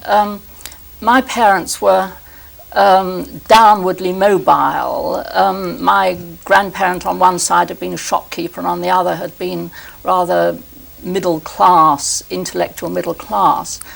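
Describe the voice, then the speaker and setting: Over noticeable background noise, a woman talks at a fairly slow pace with a southern English accent. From London, England. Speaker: historian. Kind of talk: interview conversation. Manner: halting.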